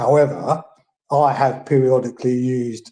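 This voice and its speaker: Dark, mellow tone at a fairly slow pace, somewhat breathy, with fairly even intonation. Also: man. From England. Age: 60s. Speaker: caller. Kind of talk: live Q&A call-in. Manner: halting with many fillers.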